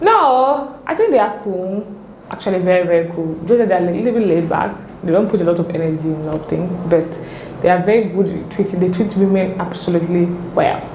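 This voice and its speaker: A woman talks at a fairly quick pace with a medium pitch and ordinary pitch variation, over noticeable background noise and audible room echo. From Cameroon, French-speaking part. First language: French. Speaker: pharmacist and content creator. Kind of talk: interview. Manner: hesitant, searching for words.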